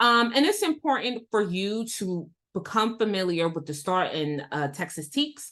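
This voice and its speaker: In an American accent, a woman speaks at a moderate pace with a medium pitch. Her tone is animated, with very wide pitch swings, against a quiet background. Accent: New York accent, noticeable over long talk. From New York City (Queens). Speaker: educational consultant and instructional coach. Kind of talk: webinar presentation. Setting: live online webinar.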